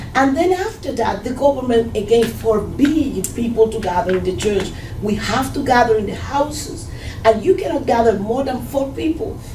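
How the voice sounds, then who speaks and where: A woman with a Spanish accent speaks at a moderate pace in a high voice, her intonation lively. The room echo is audible, and background noise is noticeable. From Cuba. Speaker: Cuban immigrant churchgoer. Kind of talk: testimony.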